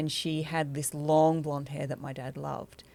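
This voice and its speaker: With a very deep, low pitch, a woman talks at a moderate pace and with fairly even intonation on a very clean recording against a silent background. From England, moved to Australia as a child. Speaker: doctor. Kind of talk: personal interview, life story. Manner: halting, many fillers.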